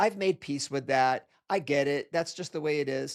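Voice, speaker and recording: A man talks at a moderate pace in a plain, everyday voice with a fairly high pitch. The recording is very clean with a silent background, and his pitch variation is ordinary. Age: 60s. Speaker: podcast host and jiu-jitsu practitioner. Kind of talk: casual interview chat.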